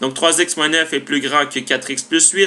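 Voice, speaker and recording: A man's voice comes with noticeable background noise. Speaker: math teacher. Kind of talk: tutorial. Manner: fast.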